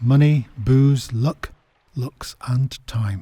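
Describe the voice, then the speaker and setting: A man with a northern English accent speaks at a medium pitch in a dark, mellow tone, somewhat breathy, with ordinary pitch variation and a dry, close sound with no echo. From northern England. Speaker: podcast host, history guide. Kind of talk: scripted narration.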